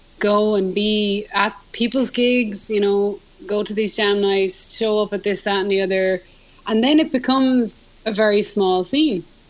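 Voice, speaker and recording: Over noticeable background noise, a woman speaks with an Irish accent. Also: medium pitch for a woman, ordinary pitch variation, fairly slow pace. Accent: Irish brogue. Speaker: musician. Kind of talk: casual chat. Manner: animated.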